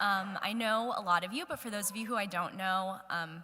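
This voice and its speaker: A loud woman at a medium pitch speaks at a moderate pace, her tone bright and sharp and her pitch varying in an ordinary way. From US, northern Virginia (Ashburn). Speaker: guest speaker. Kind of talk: church talk. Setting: church hall with audience.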